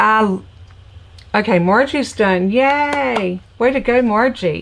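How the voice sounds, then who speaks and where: With an American accent, a woman of fairly high pitch speaks very slowly using lively intonation. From Virginia, US South (Petersburg area south of Richmond). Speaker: crafting instructor and stamp seller. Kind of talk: live craft tutorial with casual chat. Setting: home craft room, livestream. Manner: casual, chatty.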